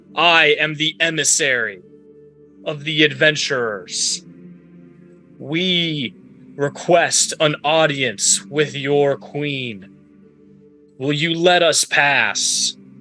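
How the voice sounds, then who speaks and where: With faint music in the background, a man in a put-on character voice shouts at a fairly high pitch and a very slow pace, leaving long, frequent pauses. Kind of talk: formal, declarative. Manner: shouting up to the gate.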